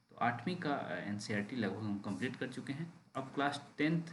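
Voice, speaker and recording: There is audible room echo around the speaker. A man talks with lively intonation. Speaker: exam coaching teacher. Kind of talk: online class announcement. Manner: deliberately slow.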